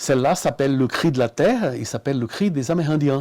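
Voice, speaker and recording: A man with a normal speaking voice talks at medium pitch and a moderate pace with ordinary pitch variation. The recording is very clean with a silent background. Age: 60s. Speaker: artist. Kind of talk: interview. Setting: at his home.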